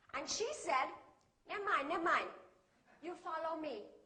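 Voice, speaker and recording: A woman projects her voice loudly, her extremely high pitch carrying a bright, sharp tone. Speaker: English teacher. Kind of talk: public speech to an audience.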